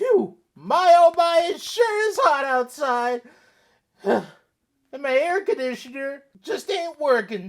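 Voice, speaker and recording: Using a cartoonish character voice, a woman speaks at a fairly slow pace in a high pitch with very wide pitch swings. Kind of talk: comedy sketch. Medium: puppet.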